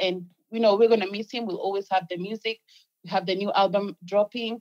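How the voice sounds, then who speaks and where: This is an ordinary speaking voice with ordinary pitch variation, heard in a dry, close sound with no echo. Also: woman. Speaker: music publicist. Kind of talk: casual chat.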